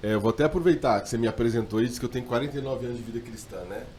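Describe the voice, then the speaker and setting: A man with a mid-range voice races through his words very quickly, pitch varying in the ordinary way. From Brazil, mixed regions. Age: 40s. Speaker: pastor. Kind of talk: podcast interview.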